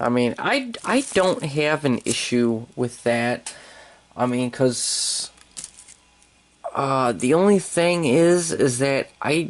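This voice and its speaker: Speaking very slowly, a man uses a fairly high pitch with ordinary pitch variation and very even loudness. Noticeable background noise is present. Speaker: toy reviewer. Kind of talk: toy review tutorial. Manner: halting, many fillers and repeats; casual.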